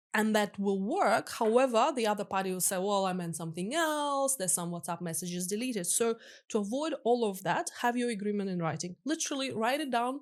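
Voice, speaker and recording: Against a quiet background, a woman with a non-native accent speaks at a fairly high pitch and a fairly quick pace, her intonation lively. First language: not English. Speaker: crypto lawyer. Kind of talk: podcast interview.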